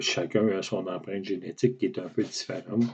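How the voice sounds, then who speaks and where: A man is speaking. He has a Quebec accent. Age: 60s. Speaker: patient with a rare muscle disease. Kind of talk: personal testimony to camera. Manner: hesitant, many fillers.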